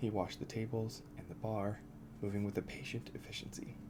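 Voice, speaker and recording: A soft-spoken man, fairly low in pitch, talking at a fairly quick pace with music in the background. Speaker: ASMR creator. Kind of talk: ASMR book reading.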